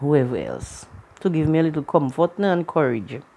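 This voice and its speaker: Lively intonation colors a woman's dark, mellow voice. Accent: Caribbean. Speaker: vlogger. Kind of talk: personal storytelling vlog. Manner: casual, colloquial.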